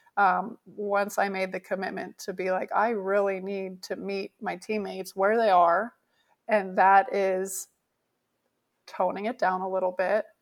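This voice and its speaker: A woman talks at a fairly slow pace with a Canadian accent and a medium pitch. She has an unremarkable speaking voice, on a very clean recording with a silent background. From Canada. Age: 30s. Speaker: professional beach volleyball player. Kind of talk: interview.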